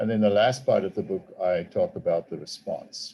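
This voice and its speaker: Speaking with a South African accent, a man with a dark, mellow, somewhat breathy tone moves at a moderate pace through very wide pitch swings. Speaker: theology professor and author. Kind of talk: talk to a group. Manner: halting.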